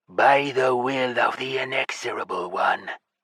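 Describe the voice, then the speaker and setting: Growling in a put-on character voice, a man speaks at a medium pitch and a moderate pace. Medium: read story. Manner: fervent, formal.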